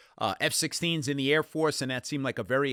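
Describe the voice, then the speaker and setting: Very fast speech with a New York accent, dry and close with no echo, on a very clean recording with a silent background. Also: man. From New York City, the Bronx. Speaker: accounting exam instructor. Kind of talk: casual interview chat. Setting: podcast studio. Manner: animated.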